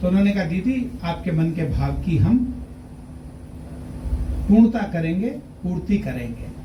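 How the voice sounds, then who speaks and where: Noticeable background noise and long, frequent pauses throughout. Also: man, high pitch for a man, ordinary pitch variation. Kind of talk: speech at award ceremony.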